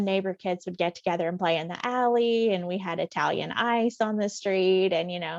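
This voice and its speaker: A woman with a Southern accent speaks at medium pitch and a moderate pace. Her intonation is fairly even against a quiet background. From US South, rural West Tennessee. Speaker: pharmacist and author. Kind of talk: interview.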